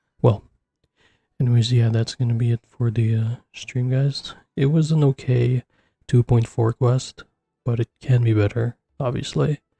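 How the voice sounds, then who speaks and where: Quiet, somewhat breathy male voice, medium pitch, dark and mellow tone, moderate pace, fairly even intonation, long and frequent pauses. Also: dry, close sound with no echo. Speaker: gaming streamer. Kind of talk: casual chat. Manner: speaking quietly.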